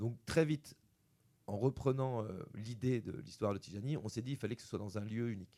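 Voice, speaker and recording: At a fairly quick pace, a man speaks at medium pitch with ordinary pitch variation and a dark, mellow tone. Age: 40s. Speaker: film director. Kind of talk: interview. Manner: halting, repeats words.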